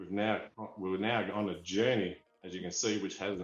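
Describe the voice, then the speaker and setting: Speaking at a fairly quick pace, a man with an Australian accent has a fairly low pitch, and audible room echo surrounds his voice. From Australia (Perth, Western Australia). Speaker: toy figurine collector. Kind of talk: interview storytelling. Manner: animated.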